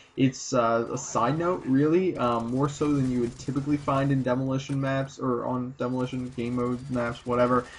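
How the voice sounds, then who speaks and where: This man talks with hardly any pauses in a monotone, flat intonation. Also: medium pitch for a man, moderate pace. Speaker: gaming commentator. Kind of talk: gameplay commentary. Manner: halting, many fillers.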